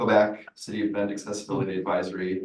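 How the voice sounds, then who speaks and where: There is audible room echo as a man speaks in a fairly low pitch. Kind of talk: public comment at committee meeting.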